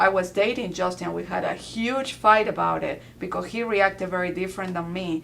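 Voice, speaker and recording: Noticeable background noise sits under a woman speaking at a moderate pace with fairly even intonation. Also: medium pitch for a woman, hardly any pauses. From Peru (Lima). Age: 40s. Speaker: immigrant interviewee. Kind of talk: interview.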